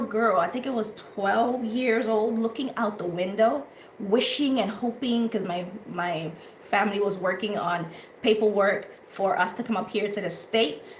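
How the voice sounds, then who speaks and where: Slow-ish in pace, a woman speaks at a fairly high pitch, with audible room echo and noticeable background noise. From Honduras. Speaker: talk show host. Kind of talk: casual chat. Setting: live audio room and stream.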